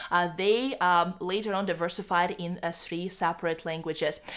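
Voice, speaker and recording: A woman's fairly low voice with a Russian accent, in a very clean recording with a silent background. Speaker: YouTuber on bilingualism. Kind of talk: educational vlog. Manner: halting, many fillers.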